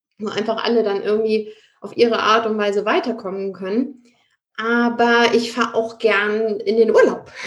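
A woman with an unremarkable speaking voice, fairly high pitch, fairly even intonation and a moderate pace. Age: 30s. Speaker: real estate expert and investor. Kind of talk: interview.

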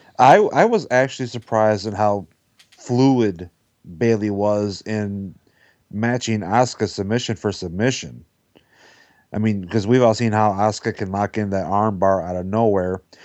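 A man speaks in a fairly low pitch at a moderate pace, with fairly even intonation. It is an unremarkable speaking voice. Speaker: wrestling podcast panelist. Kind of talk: casual roundtable discussion.

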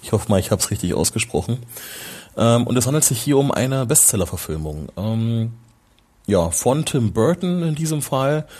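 A man speaks at a moderate pace in a medium pitch, his tone dark and mellow, with very wide swings in pitch. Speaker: film podcaster. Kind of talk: solo film review podcast. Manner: halting, many fillers.

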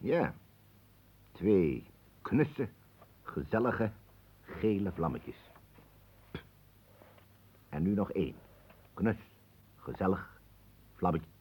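With long, frequent pauses, a put-on character voice moves at a very slow pace, its dark, mellow tone carrying a slightly husky edge and big pitch swings. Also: man, low pitch for a man.

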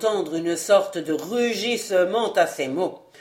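Reading voice, unforced

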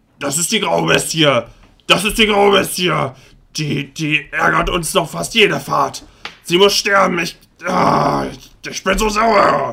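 Shouting in a put-on character voice, a man with a high pitch talks at a fairly slow pace, leaving long, frequent pauses. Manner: angry, shouting.

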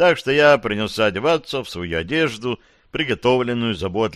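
Reading aloud, plain and unadorned

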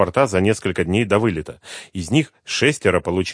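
The words are read out loud in a natural voice.

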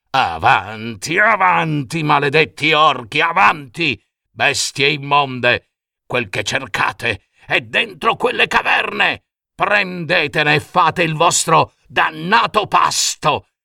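A man speaks slowly in a put-on character voice with a fairly high pitch, lively intonation and vocal fry. His tone is bright and sharp, on a very clean recording with a silent background.

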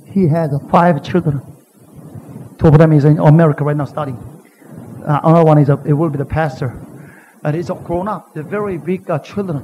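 Against noticeable background noise, a man with a Korean accent and fairly high pitch talks at a fairly quick pace with ordinary pitch variation and long, frequent pauses. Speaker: pastor. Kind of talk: sermon. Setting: church. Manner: animated.

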